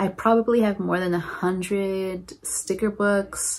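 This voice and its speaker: Speaking at a very slow pace, a woman gets her words out. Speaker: planner crafter vlogger. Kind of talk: casual vlog chat. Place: home room. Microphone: phone near.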